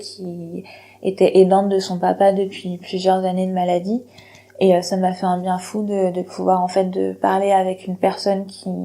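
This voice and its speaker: Speaking at a moderate pace, a woman holds a medium pitch with monotone, flat intonation. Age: 30s. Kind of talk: personal testimony to camera. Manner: hesitant, reflective.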